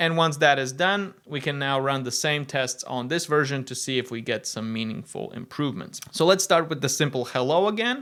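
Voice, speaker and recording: A man speaks with a Latvian accent at a fairly high pitch and a moderate pace, with ordinary pitch variation. His tone is bright and sharp in a very clean recording with a silent background. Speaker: tech video presenter. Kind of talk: tech demo narration.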